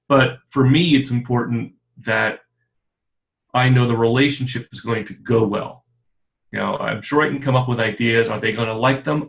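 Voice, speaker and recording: A man at medium pitch, moderate pace, long, frequent pauses and fairly even intonation. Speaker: creative director and consultant. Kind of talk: casual interview chat. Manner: loud.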